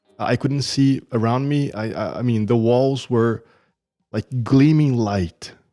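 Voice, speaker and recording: A man with a Portuguese accent, medium pitch, dark, mellow tone, ordinary pitch variation and a very slow pace. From Brazil. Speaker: churchgoer sharing testimony. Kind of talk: testimony. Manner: halting.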